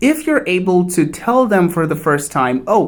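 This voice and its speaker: The speaker has a Portuguese accent. The delivery moves at a fairly slow pace. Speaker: English teacher. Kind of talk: tutorial.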